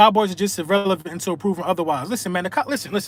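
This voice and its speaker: A man speaks at a fairly quick pace. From Philadelphia, Pennsylvania. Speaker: sports fan livestreamer. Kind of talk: live stream casual chat. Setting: live video stream. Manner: animated.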